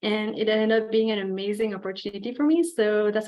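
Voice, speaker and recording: A woman talks very fast, her medium pitch rising and falling in an ordinary way. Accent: French Canadian. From Quebec. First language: French. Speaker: graduate student. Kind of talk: presentation. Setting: video call.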